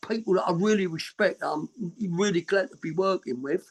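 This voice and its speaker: In a Cockney accent, a man talks with a high pitch and lively intonation, and the sound is dry and close with no echo. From East London, England. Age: 60s. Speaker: punk band musician. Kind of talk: interview.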